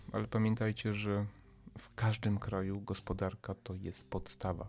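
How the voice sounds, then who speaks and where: Speaking at a moderate pace, a man with a fairly low pitch keeps his intonation fairly even while his loudness swings widely. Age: 40s. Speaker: podcast host, commentator. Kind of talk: monologue commentary. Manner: emphatic, hesitant with fillers.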